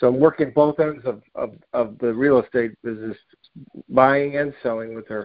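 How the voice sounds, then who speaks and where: Here is a man with a normal speaking voice and an American accent, medium-pitched at a moderate pace. His intonation is fairly even, while his loudness swings widely. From US Northeast. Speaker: caller. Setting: phone call.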